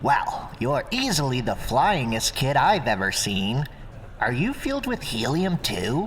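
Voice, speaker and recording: A put-on character voice speaks fairly slowly at a low-to-middle pitch. Background noise is clearly heard. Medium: read story. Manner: gruff, blunt.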